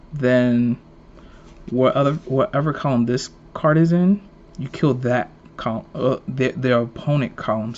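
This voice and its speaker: Putting on a character voice, a man mumbles at a moderate pace and medium pitch, with ordinary pitch variation and long, frequent pauses. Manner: mumbling.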